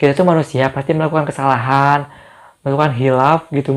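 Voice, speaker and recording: A man talks at a very fast pace. His pitch is fairly high, and his intonation stays fairly even. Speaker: YouTuber. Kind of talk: casual Q&A vlog.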